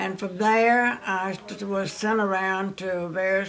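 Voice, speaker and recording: Speaking at a very slow pace, a woman with a Southern US accent uses a medium pitch. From Louisiana. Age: 90s. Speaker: retired telephone operator and businesswoman. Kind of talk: life story interview.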